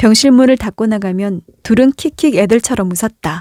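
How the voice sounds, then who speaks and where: A woman's fairly high, dark and mellow voice with ordinary pitch variation, on a very clean recording with a silent background. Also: dry, close sound with no echo. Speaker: audiobook narrator / voice actor. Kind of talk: literary short-story narration, calm and emotional.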